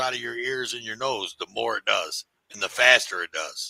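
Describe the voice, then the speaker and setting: At a moderate pace, a man with an American accent speaks, the sound dry and close with no echo. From US, inner-city neighborhood. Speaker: podcast host. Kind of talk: casual chat. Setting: livestream. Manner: animated.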